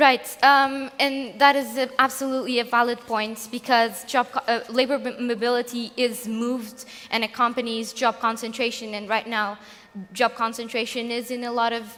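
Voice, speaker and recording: Her intonation stays monotone and flat as a woman talks at a moderate pace in a high pitch. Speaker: essay competition winner. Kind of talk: Q&A answers at award event. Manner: halting, many restarts.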